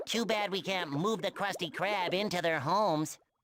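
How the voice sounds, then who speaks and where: A man's put-on character voice, high in pitch, at a moderate pace with very even loudness. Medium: video game. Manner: energetic, enthusiastic.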